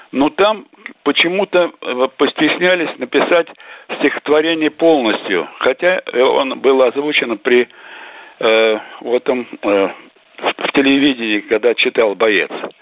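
Noticeable background noise behind a man with a fairly high pitch, a very slow pace and long, frequent pauses. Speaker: caller. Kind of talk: call-in question. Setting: phone call.

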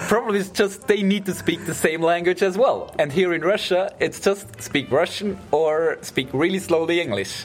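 Delivered at a moderate pace with hardly any pauses and ordinary pitch variation, the speech sits over noticeable background noise. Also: man, high pitch for a man. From Switzerland. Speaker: international student, polyglot. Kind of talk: casual chat.

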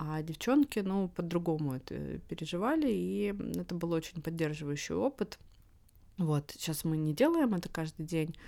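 Lively in intonation, a woman speaks in a dark, mellow tone at a fairly low pitch. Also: moderate pace. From Russia. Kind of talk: casual interview chat. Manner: hesitant with many fillers.

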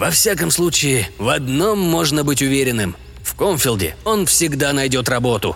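With music in the background, a man at medium pitch speaks at a moderate pace with very wide pitch swings. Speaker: audiobook narrator. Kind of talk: sci-fi audiobook reading, scripted narration of a story.

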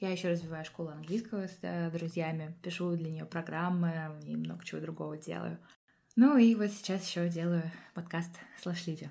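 A woman with a plain, everyday voice talks at a moderate pace and a fairly low pitch. Her intonation is fairly even, while her loudness swings widely. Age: 20s. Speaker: podcast host. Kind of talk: scripted narration.

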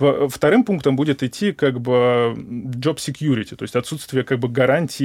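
A man's medium-pitched voice at a moderate pace, fairly even in intonation, on a very clean recording with a silent background and a dry, close sound with no echo. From Moscow, Russia. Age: 20s. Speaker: research scientist. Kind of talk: interview. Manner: hesitant, with many fillers.

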